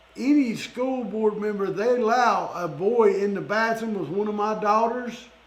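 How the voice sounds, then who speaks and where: A man with an American accent speaks at a high pitch and a fairly slow pace. Audible room echo and noticeable background noise fill the recording. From Florida. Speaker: podcast host. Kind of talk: interview. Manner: animated.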